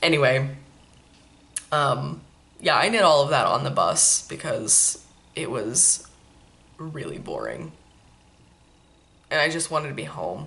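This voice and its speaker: With an American accent, the speaker talks at a fairly slow pace with long, frequent pauses, and audible room echo is present. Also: woman. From Maine, then California as a child. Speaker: knitting podcast host. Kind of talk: casual chat. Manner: relaxed, many fillers.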